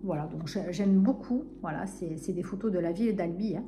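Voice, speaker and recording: Over noticeable background noise, a woman with a southern French accent speaks with lively intonation. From southern France, Narbonne. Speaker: book vlogger. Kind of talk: casual vlog chat. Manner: hesitant, many fillers.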